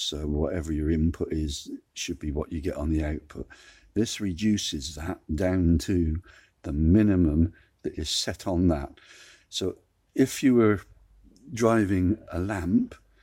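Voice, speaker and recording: A man with a very deep, low pitch and a dark, mellow, somewhat breathy tone speaks at a fairly slow pace with ordinary pitch variation and long, frequent pauses. The recording is very clean, with a silent background. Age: 60s. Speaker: DIY electronics tutor. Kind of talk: tutorial. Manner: conversational.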